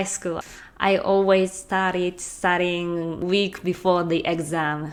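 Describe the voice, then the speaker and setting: A woman with a Japanese accent at a very slow pace, her intonation fairly even. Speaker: language-learning vlogger. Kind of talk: casual talk to camera.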